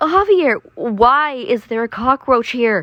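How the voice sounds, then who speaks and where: Shaky and squeaky, a female-sounding put-on character voice with a nervous tone is raised and projected at a high pitch, going at a fairly slow pace. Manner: trembling, nervous.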